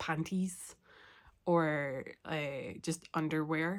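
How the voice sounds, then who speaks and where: The voice comes with a Scottish accent and fairly even intonation. The recording is very clean, with a silent background. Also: woman. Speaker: knitting and crochet podcaster. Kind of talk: casual talk to camera.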